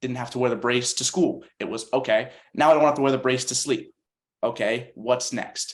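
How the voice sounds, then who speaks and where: An ordinary speaking voice from a man with an American accent, medium in pitch, fairly even in intonation, at a moderate pace. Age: 20s. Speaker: CP soccer national team player. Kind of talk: panel discussion.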